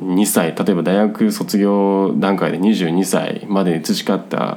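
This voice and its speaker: A man with a very deep, low pitch, plus audible room echo and noticeable background noise. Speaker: podcast host, self-renovating rural migrant. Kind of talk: casual solo talk. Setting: hot room at home. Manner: rambling, filler-heavy.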